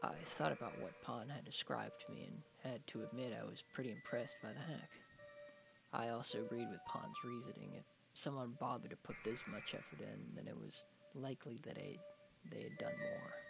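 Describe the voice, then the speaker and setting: Music sits behind a man who talks at a fairly quick pace. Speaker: creepypasta narrator. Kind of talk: first-person horror story narration. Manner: campy.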